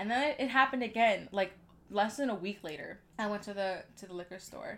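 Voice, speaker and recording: A woman speaks at a moderate pace in an ordinary speaking voice, medium in pitch, with ordinary pitch variation. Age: 20s. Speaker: parenting podcast co-host. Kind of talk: casual chat.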